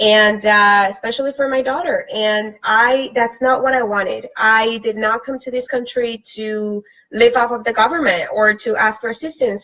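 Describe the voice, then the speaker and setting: Speaking with a Spanish accent, a woman keeps a moderate pace with hardly any pauses. Her fairly high voice has a bright, sharp tone and fairly even intonation. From Colombia. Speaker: fitness and lifestyle vlogger. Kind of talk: live stream talk to viewers. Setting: live from computer.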